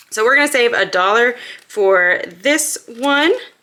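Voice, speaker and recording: A woman speaks in an upbeat tone with lively intonation. Noticeable background noise runs under her voice. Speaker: budgeting YouTuber. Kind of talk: casual vlog tutorial. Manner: fast.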